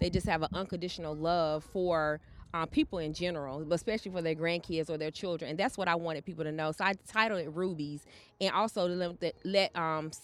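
Speaking at a fairly quick pace in a Southern US accent, a woman with a fairly low pitch keeps a fairly even intonation in a very clean recording with a silent background. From North Carolina (Charlotte). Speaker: abuse survivor and author. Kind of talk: testimony.

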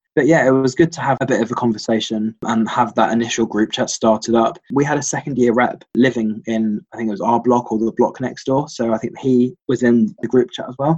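Speaking with hardly any pauses, a man with a London accent shows ordinary pitch variation. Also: medium pitch for a man, fairly quick pace. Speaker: university student. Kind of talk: casual chat. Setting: conference call.

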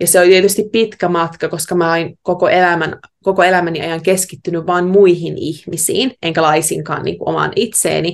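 A woman's fairly low voice, an ordinary speaking voice, at a moderate pace with fairly even intonation and hardly any pauses. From Finland, Savo (Heinävesi). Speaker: yoga teacher and new mother. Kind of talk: casual interview conversation. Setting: remote call from Australia.

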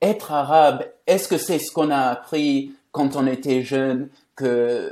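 A man with a non-native accent, a fairly high pitch and a dark, mellow tone, speaking at a very slow pace. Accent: foreign accent in French. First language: English (speaking French). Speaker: journalist and author. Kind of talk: conversational interview. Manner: halting.

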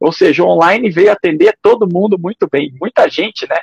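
This man has a high-pitched voice. The sound is dry and close, with no echo. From Curitiba, Paraná, Brazil. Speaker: ultramarathon runner and trail running coach. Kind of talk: interview.

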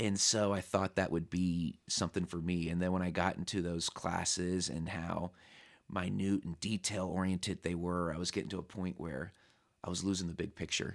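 With an American accent, a man speaks at a moderate pace in a very deep, low pitch and flat, monotone intonation on a very clean recording with a silent background. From Southern California. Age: 30s. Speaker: podcast guest, high school teacher. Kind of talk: casual interview chat.

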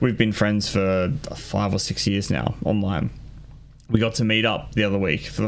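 With an Australian accent, a man speaks at a moderate pace in a fairly low pitch, his loudness very even throughout. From Australia (New South Wales). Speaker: gaming podcast host. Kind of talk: casual chat.

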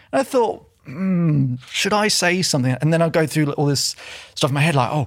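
A man speaks at a very fast pace with ordinary pitch variation. His voice is somewhat breathy. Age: 30s. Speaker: self-belief coach. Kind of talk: casual interview. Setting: studio.

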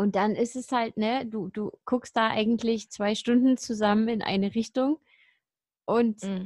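A woman with a fairly high, somewhat breathy voice speaks at a fairly slow pace. Her intonation is fairly even, and the sound is dry and close with no echo. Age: 30s. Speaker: podcast co-host. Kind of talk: casual chat.

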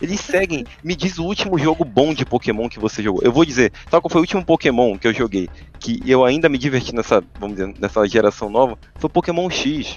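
A man's medium-pitched voice with very wide pitch swings, and music in the background. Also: fairly quick pace. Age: 20s. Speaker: podcast co-host. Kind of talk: casual chat. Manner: animated.

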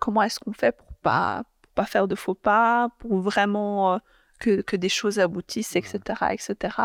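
A woman at a medium pitch with fairly even intonation and a fairly slow pace, on a very clean recording with a silent background and a dry, close sound with no echo. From Belgium, Brussels (Molenbeek). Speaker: politician. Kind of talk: interview. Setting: parliament building. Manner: halting, many fillers.

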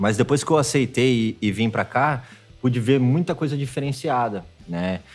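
A man with an unremarkable speaking voice talks at a medium pitch and a moderate pace. His pitch varies in an ordinary way, in a very clean recording with a silent background. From interior of São Paulo state, Brazil. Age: 30s. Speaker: tattoo artist. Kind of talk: casual chat.

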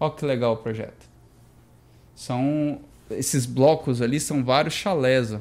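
A man at medium pitch, fairly slow, with long, frequent pauses and ordinary pitch variation. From Brasília, Brazil. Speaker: architect and stone business owner. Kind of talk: casual chat.

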